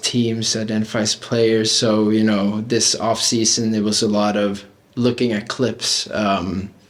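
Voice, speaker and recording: Noticeable background noise sits under a man talking at a fairly slow pace. He speaks with an American accent. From Norway. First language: Norwegian. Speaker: footballer. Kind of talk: interview. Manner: hesitant, many fillers.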